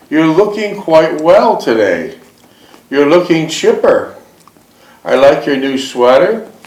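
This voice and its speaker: A man at a very slow pace, long and frequent pauses, noticeable background noise behind him. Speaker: interviewer. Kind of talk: interview questions.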